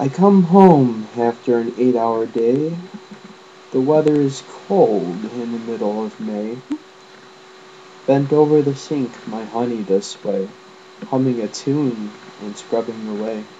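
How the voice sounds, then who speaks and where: Mumbling at a fairly slow pace with long, frequent pauses, a man talks at a medium pitch with ordinary pitch variation amid noticeable background noise. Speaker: amateur poet. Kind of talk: poetry reading.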